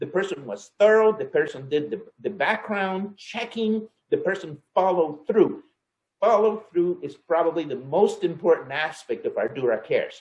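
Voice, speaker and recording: Speaking at a moderate pace with a Spanish accent, a man uses lively intonation. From El Salvador. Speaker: engineer, client manager. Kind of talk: company talk on heritage. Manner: halting, many repetitions and fillers.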